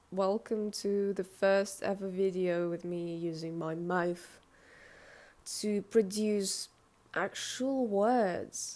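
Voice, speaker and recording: At a very slow pace, a woman with a non-native accent speaks in a medium pitch, her tone dark and mellow and her intonation fairly even. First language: not English. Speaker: artist and video creator. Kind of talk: casual vlog talk to camera. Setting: indoors, filming in front of a window. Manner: halting, many hesitations and self-corrections.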